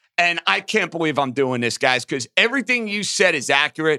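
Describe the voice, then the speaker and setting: A man with a New York accent, a high pitch, a bright, sharp tone and lively intonation, recorded very cleanly over a silent background with a dry, close sound and no echo. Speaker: sports betting podcast host. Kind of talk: casual sports betting chat. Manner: animated, profane.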